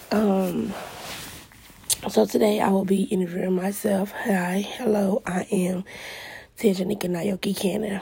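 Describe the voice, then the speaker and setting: Noticeable background noise runs under a woman speaking at a fairly slow pace. Her intonation is flat and monotone, broken by long, frequent pauses. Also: medium pitch for a woman. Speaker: podcast host. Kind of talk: self-interview monologue.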